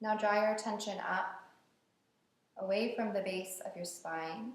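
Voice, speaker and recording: Speaking slowly, a woman uses a plain, everyday voice at a medium pitch. Her intonation stays fairly even. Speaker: yoga teacher. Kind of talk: guided meditation. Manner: slow, calm.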